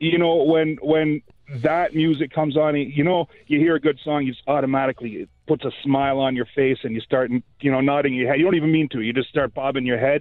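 A man talks in an unremarkable speaking voice, fairly high-pitched, with fairly even intonation, at a fairly quick pace and with hardly any pauses. The sound is dry with no echo, and the background is quiet. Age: 40s. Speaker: caller; podcast co-host. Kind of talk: casual chat. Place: studio.

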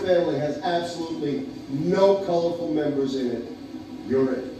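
A man at a moderate pace, with strong room echo and noticeable background noise. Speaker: comedian. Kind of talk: stand-up comedy routine. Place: stage.

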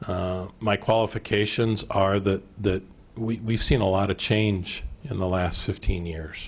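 This man has a normal speaking voice and an American accent. His pitch is fairly low, his intonation fairly even, and his pace fairly slow. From central Illinois. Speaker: school board member, candidate; candidate. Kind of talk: candidate forum answers. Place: meeting room. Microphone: podium.

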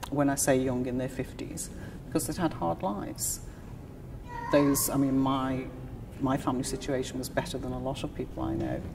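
A woman with a very deep, low voice speaks with long, frequent pauses over noticeable background noise. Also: ordinary pitch variation, moderate pace. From Liverpool, England. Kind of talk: oral history interview answer.

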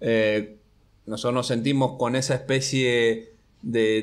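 A man's medium pitch with fairly even intonation, against a quiet background. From Entre Ríos, Argentina. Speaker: graphic artist; guest. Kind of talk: interview. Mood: relaxed, reflective. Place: studio. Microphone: studio mic.

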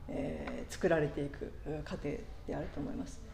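A woman speaks with audible room echo. Light background noise is present. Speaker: pastor. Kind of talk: sermon. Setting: church. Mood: warm, reflective, light humor.

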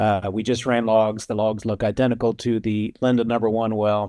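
A man's dark, mellow-toned voice at a moderate pace over a quiet background. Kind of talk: interview answer. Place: office. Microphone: video call.

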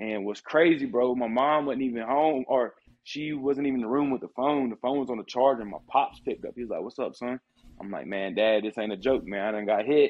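This man has an American accent and ordinary pitch variation. He talks at a fairly quick pace. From South Carolina. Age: 20s. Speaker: paralyzed shooting survivor. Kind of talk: casual interview. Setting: video call. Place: home room. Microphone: video call.

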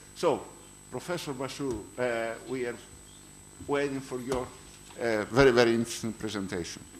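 A speaker with a Greek accent talks at a moderate pace, with ordinary pitch variation and long, frequent pauses. Light background noise is present. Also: man. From Greece. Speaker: conference chair. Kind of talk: speaker introduction; formal introduction and moderation. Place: hall. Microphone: podium.

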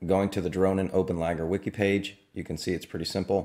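This man's intonation stays monotone and flat, set against a quiet background. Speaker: drone tech reviewer; drone hobby reviewer. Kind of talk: tutorial. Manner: casual. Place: home room.

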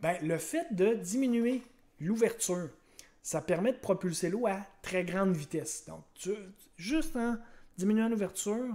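In a Quebec accent, a man with a high-pitched, dark, mellow tone speaks very slowly, with long, frequent pauses. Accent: Québécois French. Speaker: science teacher. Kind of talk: lecture. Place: home room. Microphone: webcam.

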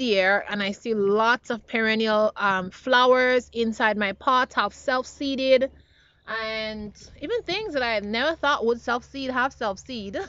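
Ordinary pitch variation marks this woman's speech. She talks at a fairly slow pace. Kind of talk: casual vlog chat. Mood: happy, upbeat. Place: garden. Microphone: phone near.

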